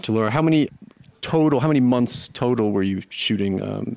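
Speaking in a normal speaking voice, a man holds a medium pitch with ordinary pitch variation. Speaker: podcast host, film critic. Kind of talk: panel interview. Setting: film festival venue.

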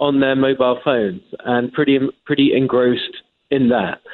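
At a moderate pace, a man talks with an English accent at a medium pitch. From England. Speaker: magazine editor. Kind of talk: interview.

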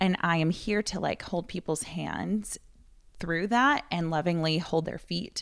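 An unremarkable speaking voice from a woman, medium in pitch at a moderate pace, in a very clean recording with a silent background. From Wisconsin. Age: 30s. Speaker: physical therapist and yoga instructor. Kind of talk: casual interview.

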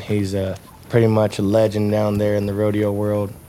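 Fairly low-pitched man with a Texas accent, amid audible room echo and noticeable background noise. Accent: Texas Southern. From Texas, Rockdale. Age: 20s. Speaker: professional bull rider. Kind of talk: interview storytelling.

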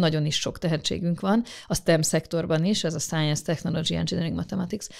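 At a fairly quick pace, this voice carries vocal fry and fairly even intonation on a very clean recording with a silent background. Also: woman. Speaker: government space official. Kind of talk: interview answers. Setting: studio. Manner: formal, explanatory.

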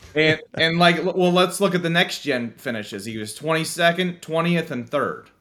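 A man with an American accent speaks at a moderate pace and a high pitch. His tone is bright and sharp, with lively intonation. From Pennsylvania. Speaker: sports betting statistics analyst. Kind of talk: casual chat.

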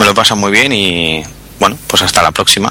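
Noticeable background noise accompanies a man speaking fairly low in pitch. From Barcelona, Spain. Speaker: podcaster. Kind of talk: casual group chat. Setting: online call.

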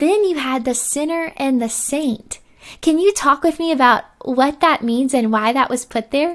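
Speaking at a moderate pace, a woman uses a high pitch and an animated tone with ordinary pitch variation. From Arkansas. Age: 20s. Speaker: podcast host. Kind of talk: casual faith conversation.

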